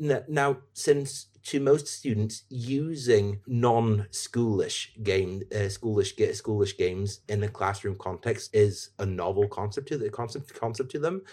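A man with a dark, mellow tone and a somewhat breathy voice talks at medium pitch and a fairly slow pace, with ordinary pitch variation and hardly any pauses. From Norway. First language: Norwegian. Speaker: teacher and games-in-education advisor. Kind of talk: casual interview chat. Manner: halting, many repetitions.

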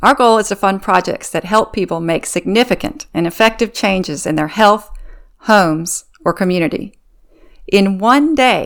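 On a very clean recording with a silent background, a woman with a plain, everyday voice talks at a moderate pace, with a medium pitch and ordinary pitch variation. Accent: American. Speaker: podcast host. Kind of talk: interview.

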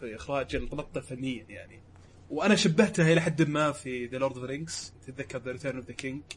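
Fairly quick and somewhat breathy, a man speaks at a medium pitch with ordinary variation. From Saudi Arabia, Riyadh. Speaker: podcast co-host and producer. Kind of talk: casual chat.

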